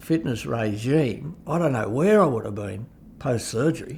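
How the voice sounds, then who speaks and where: This man's voice sits at a medium pitch and is somewhat breathy. His intonation is lively. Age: 70s. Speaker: cancer patient. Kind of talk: testimony.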